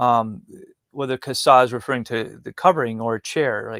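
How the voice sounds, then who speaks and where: An American-accented man at medium pitch speaks with fairly even intonation in a dry, close sound with no echo. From Wisconsin, US Upper Midwest. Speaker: tabernacle model builder and Bible teacher. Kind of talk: interview. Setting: live stream. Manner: halting.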